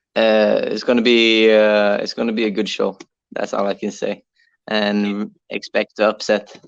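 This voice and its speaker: This man talks at a fairly slow pace with a Norwegian accent. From Norway. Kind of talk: interview. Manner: halting, many fillers.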